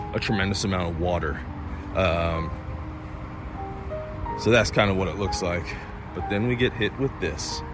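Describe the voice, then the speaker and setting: With music playing in the background, a man talks at a moderate pace with ordinary pitch variation in a dry sound that has no echo. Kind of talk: casual vlog chat. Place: open country. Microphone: phone near.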